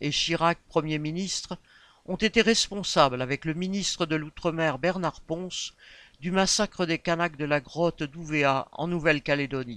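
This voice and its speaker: In a very clean recording with a silent background and a dry, close sound with no echo, a man with a plain, everyday voice speaks at a fairly slow pace and a fairly high pitch with fairly even intonation. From Réunion. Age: 50s. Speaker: election candidate. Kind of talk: campaign statement. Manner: formal.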